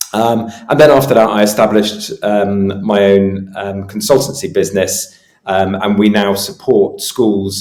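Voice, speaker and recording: A man with a British accent and fairly low pitch speaks at a moderate pace. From UK. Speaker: travel safety consultant. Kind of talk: podcast interview. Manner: hesitant, many fillers.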